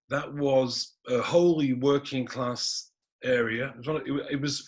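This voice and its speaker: A man with a Manchester accent speaks at medium pitch and a moderate pace. His intonation stays fairly even against a quiet background. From northern England, Manchester (Gorton). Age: 60s. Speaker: historian. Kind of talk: panel talk.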